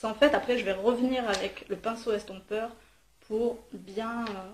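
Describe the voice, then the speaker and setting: Flat, monotone intonation in a woman's fairly high voice. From southern France, Marseille. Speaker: beauty vlogger. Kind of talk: makeup tutorial. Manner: hesitant, many fillers.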